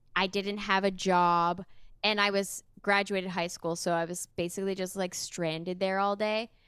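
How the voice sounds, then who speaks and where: This woman has a medium-pitched voice. Her intonation is monotone and flat. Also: moderate pace. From Sudbury, Ontario, Canada. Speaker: musician and voice actor. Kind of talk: casual chat. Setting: video call.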